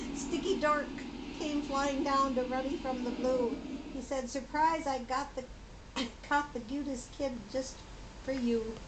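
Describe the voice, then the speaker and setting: Her pitch high and her intonation monotone and flat, a woman speaks at a fairly slow pace amid audible room echo. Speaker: grandmother. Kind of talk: reading aloud. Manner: laughing hysterically; halting.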